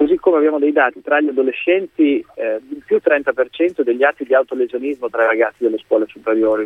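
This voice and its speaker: Fairly quick and fairly high-pitched, a man talks in an unremarkable speaking voice with ordinary pitch variation. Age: 40s. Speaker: politician. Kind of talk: radio interview.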